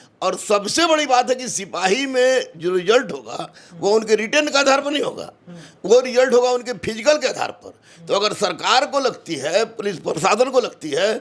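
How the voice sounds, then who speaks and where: A man talks in an extremely high pitch with lively intonation. He leaves hardly any pauses. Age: 40s. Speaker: coaching teacher. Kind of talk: interview.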